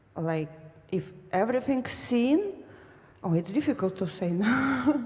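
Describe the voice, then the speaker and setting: A woman speaks fairly slowly in a fairly high pitch with very wide pitch swings. Noticeable background noise is present. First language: not English. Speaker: retreat participant. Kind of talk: question to a teacher. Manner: halting, many fillers.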